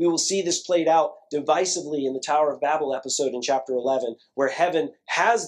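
A man speaks at a fairly high pitch with ordinary pitch variation. His is an unremarkable speaking voice. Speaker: pastor. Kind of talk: sermon. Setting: church.

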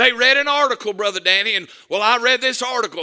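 This man's voice is extremely high-pitched, raised and projected, with a bright, sharp tone. He talks at a fairly quick pace with ordinary pitch variation. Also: very clean recording, silent background. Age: 50s. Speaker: pastor. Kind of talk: sermon. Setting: church.

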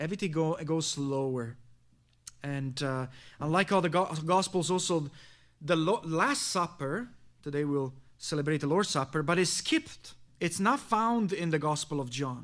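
A man with an Italian accent talks at a moderate pace, his pitch fairly high with ordinary variation. He leaves long, frequent pauses in a very clean recording with a silent background. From Italy. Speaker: pastor. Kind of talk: sermon.

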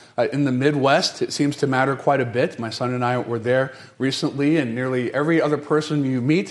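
A man with an American accent, medium pitch and ordinary pitch variation, at a fairly quick pace, with audible room echo. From US South, North Carolina. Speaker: pastor. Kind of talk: sermon. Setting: church.

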